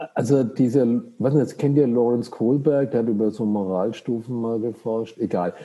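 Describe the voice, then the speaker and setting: At a moderate pace and with hardly any pauses, a man speaks at medium pitch in a dark, mellow tone with fairly even intonation. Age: 60s. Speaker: psychiatrist. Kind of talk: casual chat.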